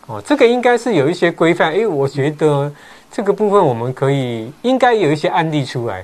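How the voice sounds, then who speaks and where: Fairly high in pitch, a man's voice moves in very wide pitch swings. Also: fairly quick pace. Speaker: real estate agent, show host. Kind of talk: casual chat. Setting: livestream.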